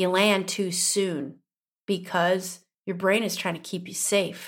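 With an Upper Midwestern US accent, a woman talks at a very slow pace. Her pitch is medium. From US Midwest. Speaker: business coach and podcast host. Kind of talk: solo podcast monologue.

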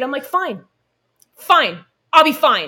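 A raised, projected voice with a bright, sharp tone, in an American accent. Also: woman. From California. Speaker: podcast host. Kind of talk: casual chat. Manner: animated.

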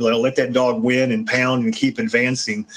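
With fairly even intonation and a medium pitch, a man talks at a moderate pace amid noticeable background noise. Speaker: retired police K9 handler and trainer. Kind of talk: casual interview conversation.

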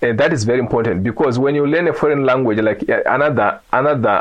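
A man talks with a Zimbabwean accent at a fairly quick pace. His pitch shows ordinary variation. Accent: Zimbabwean (Shona) English. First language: Shona. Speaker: genealogy and culture blogger. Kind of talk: interview. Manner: halting.

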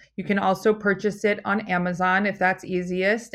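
A woman's normal speaking voice with an American accent, medium in pitch, fairly even in intonation and moderate in pace, against a quiet background. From Philadelphia, US. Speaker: food company founder. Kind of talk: interview.

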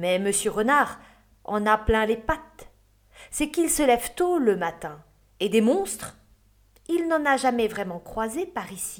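A woman speaks very slowly in a gentle, soothing tone, her fairly high pitch moving in very wide swings. She leaves long, frequent pauses. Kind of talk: fairy-tale narration for young children. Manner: soft, gentle, soothing storyteller pace.

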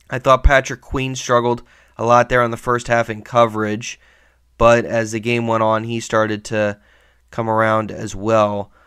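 Flat, monotone delivery from a man at medium pitch and a moderate pace, on a very clean recording with a silent background. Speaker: sports podcast host. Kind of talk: solo sports commentary podcast. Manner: hesitant, many fillers.

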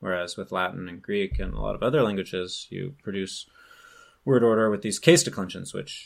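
On a very clean recording with a silent background, a man with an American accent speaks at a fairly low pitch with lively intonation, vocal fry and big swings in loudness. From California. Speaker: ancient language teacher. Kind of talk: casual chat.

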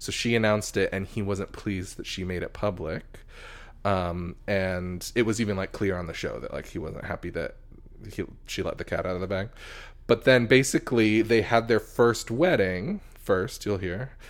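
With ordinary pitch variation and a moderate pace, an unremarkable speaking voice comes through on a very clean recording with a silent background. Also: man, fairly low pitch for a man. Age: 30s. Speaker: podcast co-host. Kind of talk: casual chat.

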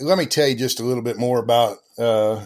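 With a slightly mellow tone, a man of medium pitch talks at a fairly quick pace and with ordinary pitch variation.

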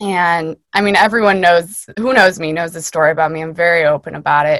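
A woman with an American accent has an unremarkable speaking voice, fairly low in pitch with fairly even intonation, at a fairly quick pace. The sound is dry and close with no echo, over a quiet background. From US Midwest, Chicago suburbs. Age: 20s. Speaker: public health student. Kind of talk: casual interview.

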